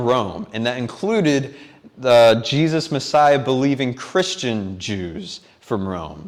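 At a fairly slow pace, a man speaks at a medium pitch in a plain, everyday voice. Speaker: preacher. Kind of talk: sermon. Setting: church.

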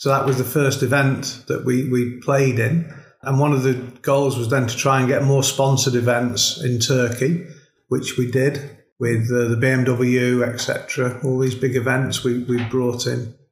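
Audible room echo surrounds a man talking at a very slow pace with a medium pitch. His voice is somewhat breathy, monotone and flat, with very even loudness. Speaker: golf club director, former pro golfer. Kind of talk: casual chat. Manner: hesitant, many fillers.

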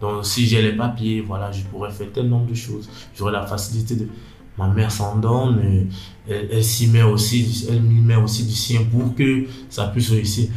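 A man speaks at a moderate pace with a medium pitch and monotone, flat intonation. Noticeable background noise and audible room echo fill the recording. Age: 20s. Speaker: young man, internship applicant. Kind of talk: personal interview, life testimony. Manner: hesitant, with many fillers and restarts.

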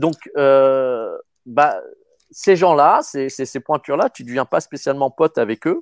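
A man speaking at a very slow pace, on a very clean recording with a silent background and a dry, close sound with no echo. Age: 50s. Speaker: actor. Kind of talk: casual chat.

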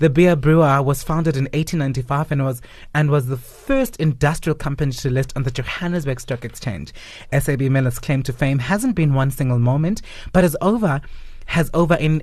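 Somewhat breathy and fairly high in pitch, a man talks at a moderate pace with ordinary pitch variation. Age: 30s. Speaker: radio co-host. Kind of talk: reading from notes; casual radio chat.

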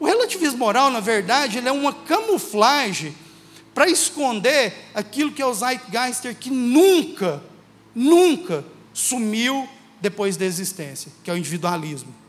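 At a fairly slow pace, a man talks at an extremely high pitch, his loudness swinging widely and his pitch swinging very widely, with audible room echo. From Minas Gerais, Brazil (Uberlândia). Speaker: guest preacher. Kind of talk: sermon. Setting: church.

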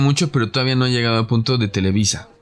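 Crowd noise fills the background as a man speaks with a Mexican accent. His pitch is medium, with ordinary variation, and his pace is fairly quick. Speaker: podcast host. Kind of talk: casual chat.

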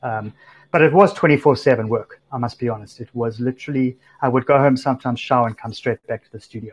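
Over a quiet background, a man with a South African accent talks at a fairly quick pace and medium pitch, somewhat breathy, with big swings in loudness. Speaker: music supervisor, DJ and tech startup founder. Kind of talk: casual interview. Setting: remote call from home.

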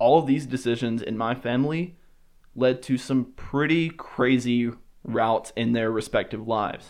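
Speaking at a moderate pace, a man with a Southern US accent uses a medium pitch. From US South, Alabama. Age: 20s. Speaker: podcast host. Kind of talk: solo monologue podcast.

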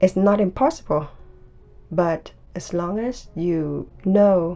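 A woman speaks at a very slow pace and fairly low pitch. Her tone is dark and mellow, her intonation fairly even. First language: Vietnamese. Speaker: podcaster. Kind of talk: personal monologue.

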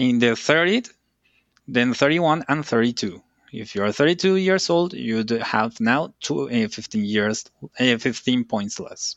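Speaking fairly slowly with a Spanish accent, a man uses lively intonation at a medium pitch. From Colombia. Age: 30s. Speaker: systems engineer and consultant. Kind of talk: interview. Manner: halting, with fillers.

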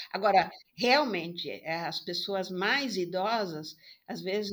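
A woman at medium pitch, very slow pace, and ordinary pitch variation. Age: 70s. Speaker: psychologist. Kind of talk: interview.

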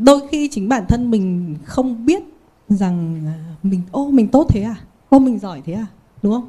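Her fairly high voice has a dark, mellow tone and is somewhat breathy, with very wide pitch swings and big shifts in loudness. The woman talks at a fairly slow pace, with long, frequent pauses. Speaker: company executive. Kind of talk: panel talk.

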